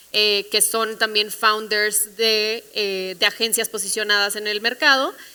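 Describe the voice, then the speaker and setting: A woman's fairly high, bright, sharp voice with a northern Mexican accent, very slow and fairly even in intonation, on a very clean recording with a silent background. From northern Mexico, Monterrey. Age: 20s. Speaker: creative agency CEO, panelist. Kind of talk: panel discussion.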